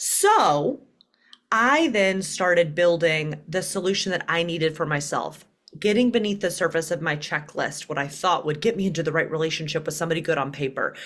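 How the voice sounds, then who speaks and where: A woman with a Southern US accent talks at a fairly quick pace. Her pitch is fairly low, with ordinary variation. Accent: Southern twang. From US South, Birmingham, Alabama. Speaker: dating coach and author. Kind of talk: podcast interview.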